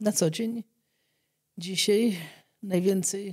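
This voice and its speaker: A woman speaks very slowly in a somewhat breathy voice with fairly even intonation, the background quiet. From Poland. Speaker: doctor treating leprosy patients; guest. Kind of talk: interview testimony. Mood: calm, reflective. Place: studio. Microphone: studio mic.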